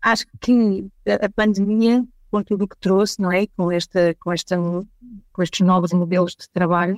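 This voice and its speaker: At a fairly slow pace, a woman speaks at a medium pitch in a dry, close sound with no echo. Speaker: consulting firm partner. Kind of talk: casual interview chat.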